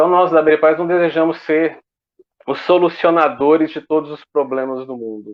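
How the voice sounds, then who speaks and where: A man speaks at a fairly high pitch. His loudness swings widely. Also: ordinary pitch variation. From Goiás, Brazil. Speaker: association representative. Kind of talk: online panel debate. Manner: slow.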